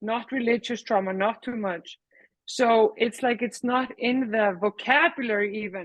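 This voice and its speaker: A woman speaks fairly slowly in an Icelandic accent, her fairly high voice showing ordinary pitch variation. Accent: non-American, Icelandic. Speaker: workshop participant. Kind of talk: casual chat.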